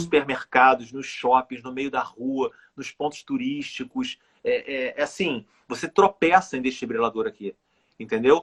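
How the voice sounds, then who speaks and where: A normal speaking voice at a fairly slow pace, with ordinary pitch variation, big swings in loudness and a dry, close sound with no echo. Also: man, fairly high pitch for a man. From Rio de Janeiro, Brazil. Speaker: author, cardiac arrest survivor. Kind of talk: interview answer.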